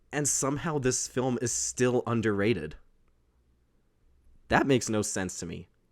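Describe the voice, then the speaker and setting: A man's voice with vocal fry and long, frequent pauses. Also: medium pitch for a man, ordinary pitch variation, moderate pace, very clean recording, silent background. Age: 20s. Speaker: podcast host, film reviewer. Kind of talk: casual film review monologue. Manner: casual, some hesitations.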